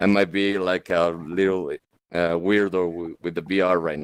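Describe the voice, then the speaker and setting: A man with a Spanish accent and a very deep, low pitch, speaking at a fairly slow pace in a monotone, flat intonation. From Mexico. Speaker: DJ, audience member. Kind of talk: Q&A question from audience. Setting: virtual reality meetup. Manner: halting.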